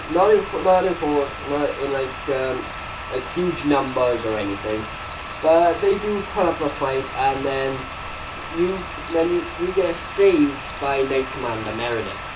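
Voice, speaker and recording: With a Welsh accent, a man speaks fairly slowly in a fairly high voice with ordinary pitch variation, amid audible room echo and noticeable background noise. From Wales. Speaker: video game reviewer. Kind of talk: casual game review commentary. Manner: halting, many restarts and fillers.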